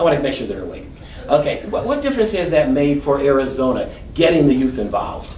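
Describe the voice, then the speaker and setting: With audible room echo and noticeable background noise, a man rattles off his words at a very fast pace. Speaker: school event host interviewer. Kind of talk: live interview.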